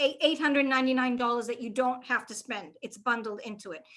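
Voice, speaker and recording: A woman with a Boston accent and a high pitch uses a raised, projected voice in a bright, sharp tone. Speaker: reliability trainer. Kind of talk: live webinar Q&A. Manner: casual, conversational.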